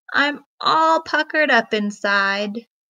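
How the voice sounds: In a put-on character voice, a woman speaks slowly at a fairly high pitch, her tone bright and sharp, with lively intonation and vocal fry.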